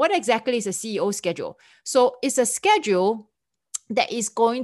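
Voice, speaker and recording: Against a quiet background, a woman speaks at a moderate pace in a Singaporean accent. Her tone is animated. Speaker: podcast host, event planning business owner. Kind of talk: solo podcast monologue.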